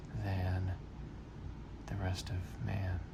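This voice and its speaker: Soft-spoken whispering from a man amid noticeable background noise. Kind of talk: casual talk to camera. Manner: soft-spoken, whispered.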